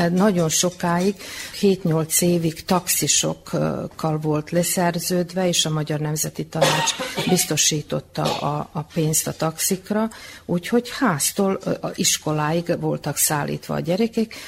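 The speech comes at a very slow pace, with noticeable background noise. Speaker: retired school principal. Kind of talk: radio interview. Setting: community hall.

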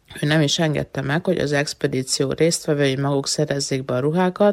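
A woman at a moderate pace in a very clean recording with a silent background and a dry, close sound with no echo. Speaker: essayist. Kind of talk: reading aloud.

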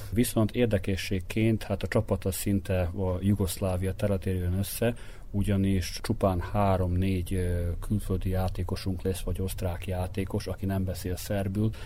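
A man with a very deep, low voice speaks at a moderate pace in a flat monotone, his tone dark and mellow and somewhat breathy. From Vojvodina, Serbia (Topolya). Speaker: basketball coach. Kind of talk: interview.

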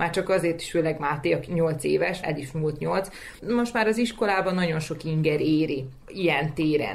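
Very deep, low pitch from a woman, ordinary pitch variation, and a moderate pace. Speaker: young parent. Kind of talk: interview.

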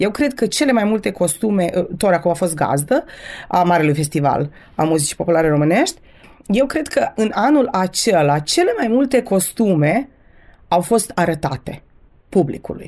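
A woman's dark, mellow voice with very wide pitch swings, very even loudness and a moderate pace. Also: medium pitch for a woman. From Romanian community of Vojvodina, Serbia (Torac, Banat). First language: bilingual Romanian and Serbian (speaking Romanian). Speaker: French teacher. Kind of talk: radio interview. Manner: hesitant, many filler sounds.

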